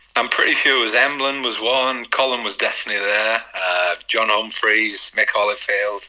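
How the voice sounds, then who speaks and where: Over noticeable background noise, a man talks at a moderate pace with a medium pitch and hardly any pauses. His intonation stays fairly even. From northern England. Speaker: retired footballer. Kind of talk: interview.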